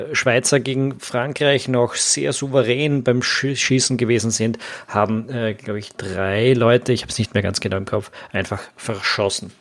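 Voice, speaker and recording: With ordinary pitch variation, a man delivers his words at a moderate speed. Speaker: football podcast host. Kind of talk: solo podcast commentary. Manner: hesitant, many fillers.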